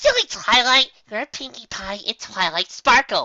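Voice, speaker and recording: A female-sounding voice puts on a character voice, high in pitch and raised and projected. The pace is moderate. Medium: read story. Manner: bubbly, giddy.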